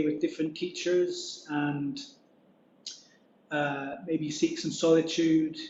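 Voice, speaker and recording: Here is a man with a British accent. His voice is fairly high for a man. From Scotland. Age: 40s. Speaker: Buddhist monk. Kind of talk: dharma talk. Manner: halting.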